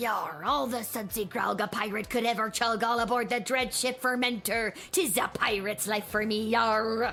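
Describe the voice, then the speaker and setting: Putting on a character voice, a female-sounding speaker with a fairly high pitch talks at a moderate pace with hardly any pauses over clear music in the background. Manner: annoying, exaggerated pirate-speak.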